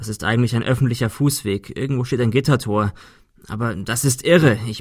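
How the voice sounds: Ordinary rises and falls in pitch across a natural reading voice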